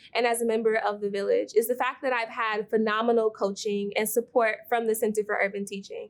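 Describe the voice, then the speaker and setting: Fairly high pitch and a fairly quick pace from a woman with an unremarkable speaking voice. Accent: American. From Milwaukee, Wisconsin. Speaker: teacher. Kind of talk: recorded testimony.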